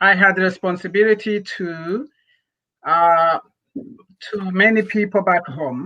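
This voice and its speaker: Very slowly and with long, frequent pauses, a man projects a raised, high-pitched voice that has a bright, sharp tone. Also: ordinary pitch variation. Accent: non-native. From Rwanda. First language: not English. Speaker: nonprofit founder. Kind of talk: interview.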